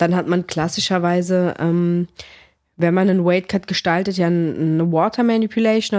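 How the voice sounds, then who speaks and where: A plain, everyday voice at a moderate pace. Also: woman. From Greece (came to Germany as a small child, early 90s). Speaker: MMA fighter and sports physiotherapist. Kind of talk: casual interview chat.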